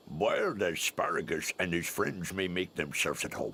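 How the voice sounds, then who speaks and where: A cartoonish character voice at a moderate pace over clear background noise. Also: man, very deep, low pitch for a man. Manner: pompous, declamatory.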